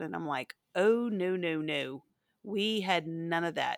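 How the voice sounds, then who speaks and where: This woman has a plain, everyday voice at a medium pitch, with ordinary pitch variation and a fairly slow pace. The sound is dry and close with no echo, on a very clean recording with a silent background. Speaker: podcast host. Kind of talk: casual chat.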